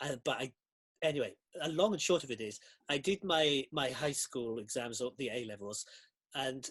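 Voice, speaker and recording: A man with a Welsh accent at medium pitch, at a moderate pace with long, frequent pauses, ordinary pitch variation, and a dry, close sound with no echo. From South Wales Valleys. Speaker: costume designer. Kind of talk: interview.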